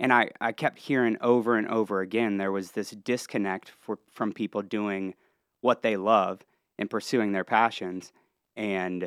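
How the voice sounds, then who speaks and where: In a Midwestern American accent, a man with a fairly low pitch speaks at a moderate pace with fairly even intonation, the recording very clean with a silent background and a dry, close sound with no echo. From Ohio, near Columbus and Cincinnati. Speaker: entertainment entrepreneur and venue owner. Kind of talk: casual interview.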